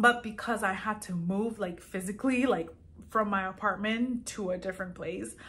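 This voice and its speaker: The voice has a bright, sharp tone and a slight Colombian accent. It moves at a moderate pace. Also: woman, medium pitch for a woman. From Colombia, Medellin, moved to US at 14. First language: Spanish. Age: 30s. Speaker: small fashion business owner, vlogger. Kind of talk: casual vlog, answering viewer questions. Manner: casual, many fillers.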